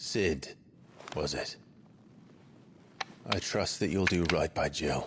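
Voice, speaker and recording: The speaker uses a put-on character voice with long, frequent pauses. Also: man, very deep, low pitch for a man, fairly slow pace, ordinary pitch variation. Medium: video game. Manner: terse, grave.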